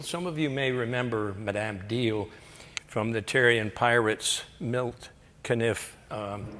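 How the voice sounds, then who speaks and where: A man with an American accent talks at a fairly slow pace with ordinary pitch variation, and audible room echo can be heard. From Florida. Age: 90. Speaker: retired air force pilot. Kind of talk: lecture.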